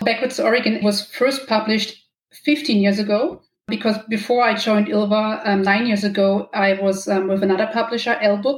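A somewhat breathy woman's voice with a German accent, medium in pitch, fairly even in intonation, at a moderate pace. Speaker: romance novelist. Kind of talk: interview.

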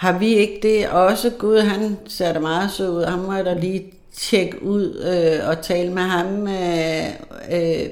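Audible room echo surrounds a woman speaking very slowly at medium pitch with fairly even intonation. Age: 50s. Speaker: HR manager. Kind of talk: casual interview. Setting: studio. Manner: hesitant, many fillers.

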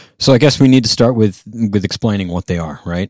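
A man's ordinary speaking voice, fairly low in pitch, in a dry, close sound with no echo. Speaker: live sound podcast co-host. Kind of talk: casual podcast chat about audio. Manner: joking, sarcastic.

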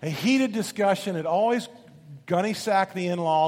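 Here a voice reads aloud naturally.

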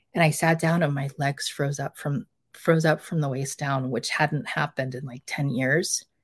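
A woman's somewhat breathy voice sits at a very deep, low pitch and moves at a moderate pace. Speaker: healing practitioner. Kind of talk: interview testimony. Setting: video call.

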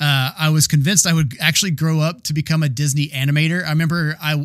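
In a very clean recording with a silent background, a man talks in a fairly high pitch with an American accent. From US South, Georgia. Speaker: podcast host. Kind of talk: solo monologue podcast.

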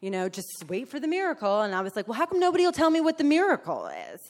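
A woman with a New Jersey accent talks at a very fast pace with very wide pitch swings. The recording is very clean, with a silent background. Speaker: recovering alcoholic. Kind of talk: testimony. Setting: stage with audience. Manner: loud.

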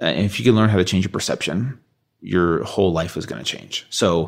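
Speaking at a fairly quick pace with lively intonation, a man's very deep, low voice comes through on a very clean recording with a silent background. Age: 30s. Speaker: fitness author and coach. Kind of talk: personal interview.

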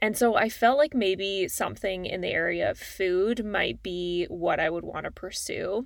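A woman speaks with a Canadian accent in a normal speaking voice, medium in pitch. Her moderate pace comes through on a very clean recording with a silent background. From Calgary, Alberta, Canada. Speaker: podcast host, dietitian. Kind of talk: solo podcast monologue.

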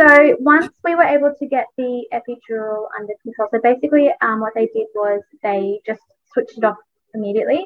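A woman speaks in an Australian accent. Her pitch is high and her pace fairly quick. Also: lively intonation. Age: 30s. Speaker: businesswoman and content creator. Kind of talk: interview storytelling.

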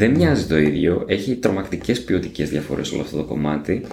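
His pitch rises and falls very widely. This man speaks fairly quickly. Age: 40s. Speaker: podcast host. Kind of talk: interview.

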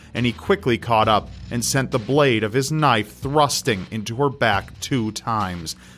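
A man talks at a moderate pace in an unremarkable speaking voice, medium in pitch with ordinary pitch variation. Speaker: true crime narrator. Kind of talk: scripted true-crime narration, solemn and sombre. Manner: measured, grave, steady storytelling pace.

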